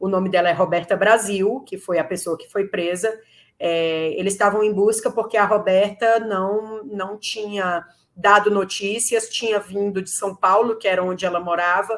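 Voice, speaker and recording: In a very clean recording with a silent background, a woman with a Ceará accent speaks at a moderate pace in a medium pitch, with fairly even intonation but big swings in loudness. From Brazil, Ceará. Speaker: lawyer. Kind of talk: interview.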